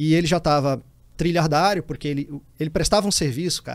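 A man speaks at a fairly quick pace with a fairly high pitch and ordinary pitch variation. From Brazil, Piauí (Teresina). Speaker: cybersecurity executive, former intelligence officer. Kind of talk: casual interview chat.

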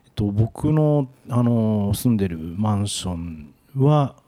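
A man talks at a fairly slow pace in a fairly low, dark, mellow voice. His intonation is lively. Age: 50s. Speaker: toilet industry company expert. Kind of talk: casual discussion. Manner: hesitant, many fillers.

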